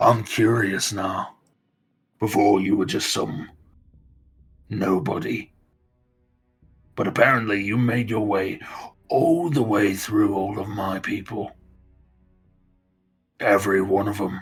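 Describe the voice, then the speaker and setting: A man puts on a raspy, menacing character voice at a fairly low pitch with ordinary pitch variation. He speaks fairly slowly with long, frequent pauses as music plays in the background. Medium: actual play. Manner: menacing, mocking.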